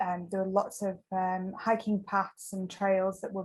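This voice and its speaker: In an English accent, a woman speaks fairly slowly at a medium pitch, somewhat breathy and with monotone, flat intonation. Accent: English accent noticeable. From northern England, Lancashire-Yorkshire border. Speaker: ultramarathon trail runner. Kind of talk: interview. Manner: hesitant, many fillers.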